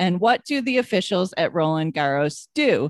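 Over a quiet background, a woman with an American accent speaks with very wide pitch swings. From New York. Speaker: podcast co-host. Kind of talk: casual chat.

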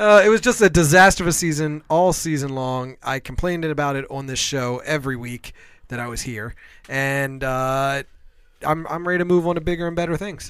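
An unremarkable speaking voice with an American accent, ordinary pitch variation and a fairly quick pace. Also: man. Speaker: podcast co-host. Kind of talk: casual sports talk.

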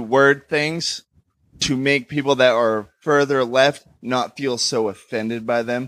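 Here is a man with a fairly high pitch and an ordinary speaking voice, using ordinary pitch variation. The recording is very clean, with a silent background. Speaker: audience member. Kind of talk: casual chat. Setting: stage with audience.

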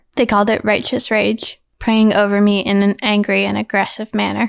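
At a moderate pace, a woman speaks on a very clean recording with a silent background. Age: 40s. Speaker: listener sharing coming-out story. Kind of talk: recorded testimony.

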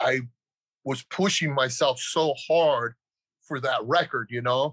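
With a bright, sharp tone and fairly high pitch, a man speaks very slowly in a dry, close recording with no echo. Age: 60s. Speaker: powerlifter and strength coach. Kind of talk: interview testimony.

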